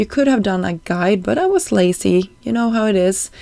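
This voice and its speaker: Speaking with a Swedish accent, a woman talks at a medium pitch. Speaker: card-making crafter, YouTuber. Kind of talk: craft tutorial voiceover. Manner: casual, with frequent fillers.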